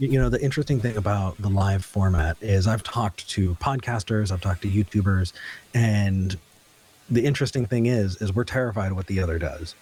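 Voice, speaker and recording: A man with a Californian accent talks at a moderate pace in a fairly low, somewhat breathy voice with ordinary pitch variation. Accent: Californian American. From US West Coast, Ventura County, California. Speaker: talk show host and atheist activist. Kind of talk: casual interview. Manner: hesitant, frequent repetitions and fillers.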